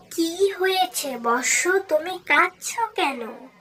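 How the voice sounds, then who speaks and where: A cartoonish character voice, female-sounding and extremely high in pitch. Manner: calm, motherly authority.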